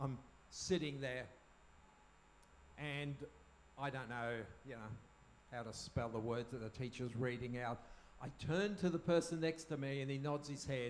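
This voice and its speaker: A man with an Australian accent talks at medium pitch and a moderate pace, with ordinary pitch variation. He leaves long, frequent pauses. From Australia (moved from German-speaking country as child). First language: German. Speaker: speaker on parenting. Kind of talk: talk to live audience. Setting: tent at camp with audience.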